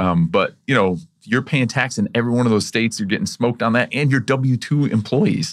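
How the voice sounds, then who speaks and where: At a fairly quick pace, a man speaks in a plain, everyday voice of medium pitch, with lively intonation and very even loudness. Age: 40s. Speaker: podcast host. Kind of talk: casual interview.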